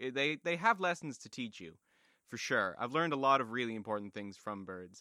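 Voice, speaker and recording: The voice has a bright, sharp tone and a Canadian accent. The recording is very clean, with a silent background. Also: man. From Toronto, Canada. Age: 20s. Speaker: music student, podcast co-host. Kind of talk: casual chat.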